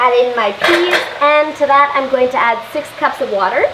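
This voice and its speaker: A woman talks at a moderate pace. Audible room echo and light background noise surround her voice. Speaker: home cooking show host. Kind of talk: tutorial. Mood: cheerful, playful. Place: kitchen. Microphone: camera far.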